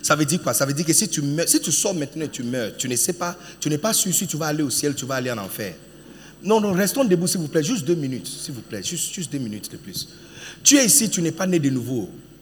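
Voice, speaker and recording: Over noticeable background noise, a man with a fairly high voice speaks at a very fast pace in an animated tone. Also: lively intonation. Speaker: preacher. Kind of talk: sermon. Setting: church with congregation. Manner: animated, urgent; emphatic, repetitive, exhorting the congregation.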